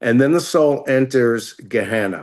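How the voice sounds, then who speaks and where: Against a quiet background, a man with a plain, everyday voice of medium pitch speaks with lively intonation. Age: 60s. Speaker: rabbi. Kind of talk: interview explanation.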